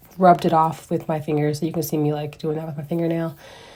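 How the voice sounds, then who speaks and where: The woman's voice has a dark, mellow tone. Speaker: beauty vlogger. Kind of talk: tutorial voiceover. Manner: casual, hesitant.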